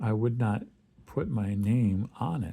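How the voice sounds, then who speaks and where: Over a very clean recording with a silent background, a man speaks at a very slow pace in a relaxed tone. His fairly low voice is somewhat breathy and has a dark, mellow tone. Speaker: artist vlogger. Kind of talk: casual drawing vlog narration. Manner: relaxed, hesitant with fillers.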